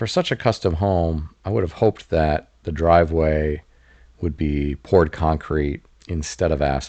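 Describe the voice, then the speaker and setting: A man speaks in a very deep, low pitch with a dark, mellow, relaxed and calm tone. At a fairly slow pace with fairly even intonation and long, frequent pauses, he talks over a quiet background. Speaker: real estate commentator. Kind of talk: home tour voice-over commentary. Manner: relaxed, calm.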